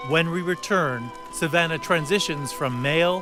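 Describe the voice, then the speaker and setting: A man's fairly high voice with very wide pitch swings at a fairly slow pace, over music in the background. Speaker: journalist. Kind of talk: documentary narration.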